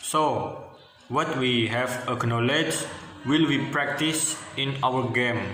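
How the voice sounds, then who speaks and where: Audible room echo surrounds a man with an Indonesian accent and a fairly high pitch. He talks at a very slow pace with very even loudness. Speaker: university student. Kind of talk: class presentation. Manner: halting.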